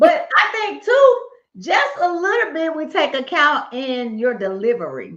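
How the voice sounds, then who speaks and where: A woman speaks loudly at a fairly slow pace in a high voice with very wide pitch swings and audible room echo. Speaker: podcast co-host. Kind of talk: casual chat.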